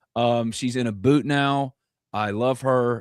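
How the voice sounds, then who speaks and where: In a very clean recording with a silent background, the sound is dry and close with no echo. The speaker has a Mississippi accent and ordinary pitch variation. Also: man. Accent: Southern US (Mississippi). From North Mississippi, US South. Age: 40s. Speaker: sports podcast host. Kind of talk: casual chat. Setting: live stream with chat.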